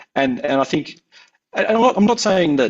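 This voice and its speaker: Talking at a fairly quick pace, a man speaks with an Australian accent. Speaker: anthropologist researcher. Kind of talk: academic talk. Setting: webinar. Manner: halting, many fillers and repeats.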